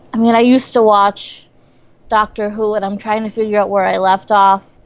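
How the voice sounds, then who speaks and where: This woman has an upstate New York accent and a medium pitch. She speaks at a moderate pace with fairly even intonation. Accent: upstate New York American. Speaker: comedian. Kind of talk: casual chat.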